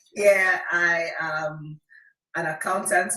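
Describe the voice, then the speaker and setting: A woman speaks with a Nigerian accent in a bright, sharp tone. Her intonation stays fairly even, and the room echo is audible. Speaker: accountant and wellness practitioner. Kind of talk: panel guest introduction.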